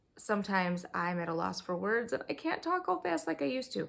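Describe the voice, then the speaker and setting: This is an unremarkable speaking voice. It moves at a fairly quick pace. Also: woman. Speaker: homeschooling mom and board game reviewer. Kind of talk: casual video review. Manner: conversational, with filler words.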